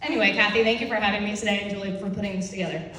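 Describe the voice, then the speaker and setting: A woman with a Philadelphia accent speaks at a medium pitch. Audible room echo and noticeable background noise accompany her. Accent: Philadelphia-area American. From northeastern Pennsylvania. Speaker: real estate agent. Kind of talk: speech to audience. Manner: fast.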